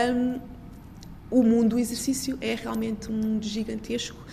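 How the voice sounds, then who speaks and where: A woman's fairly quick speech with audible room echo. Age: 40s. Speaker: researcher and professor. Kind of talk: interview.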